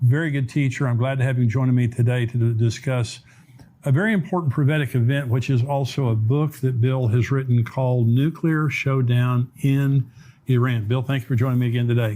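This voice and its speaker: At a fairly quick pace, a man with a medium-pitched, somewhat breathy voice and a dark, mellow tone keeps his loudness very even and his intonation fairly even. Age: 70s. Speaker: pastor and prophecy show host. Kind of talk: interview discussion.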